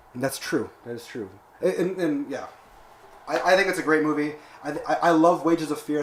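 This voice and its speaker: The speech moves at a very fast pace. Noticeable background noise runs underneath. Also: man. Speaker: podcast host. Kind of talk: casual chat. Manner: fast when excited.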